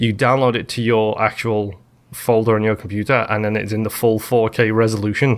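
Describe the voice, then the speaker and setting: A man with an American accent speaks at a medium pitch and a fairly quick pace. His intonation is flat and monotone. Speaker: gaming podcast host. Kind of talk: casual chat.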